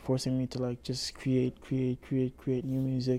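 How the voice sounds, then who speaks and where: A man's dark, mellow tone at a moderate pace. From Montreal. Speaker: rapper. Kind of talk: casual chat.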